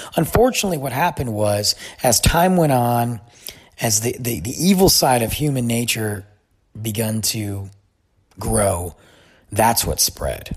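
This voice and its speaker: A man at medium pitch talks at a fairly slow pace with lively intonation. His voice is somewhat breathy, with long, frequent pauses. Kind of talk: casual monologue. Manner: stuttering.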